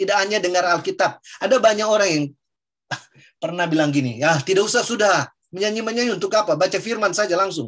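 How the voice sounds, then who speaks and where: With ordinary pitch variation, the words come out at a very fast clip. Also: man, high pitch for a man. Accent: Papuan. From Papua, Indonesia. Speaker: preacher. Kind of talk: Bible teaching discussion.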